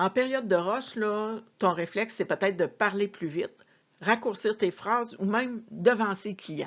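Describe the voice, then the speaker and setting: Here is a woman with an unremarkable speaking voice and a fairly high pitch. She talks at a fairly slow pace with lively intonation. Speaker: sales and customer service coach. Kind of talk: tutorial.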